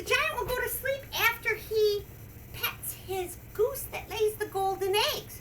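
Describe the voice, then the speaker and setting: The speaker puts on a character voice and talks at a fairly slow pace. Background noise is clearly audible. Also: woman, extremely high pitch for a woman. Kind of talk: storytime character voice. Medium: read story. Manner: hesitant, gentle, with filler sounds.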